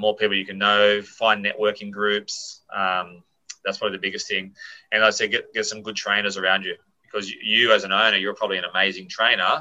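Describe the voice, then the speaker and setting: In an Australian accent, a man talks at a very fast pace and fairly low pitch, with a bright, sharp tone and monotone, flat intonation. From Australia, Sydney. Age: 40s. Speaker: gym owner and personal trainer. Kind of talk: casual interview. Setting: remote call.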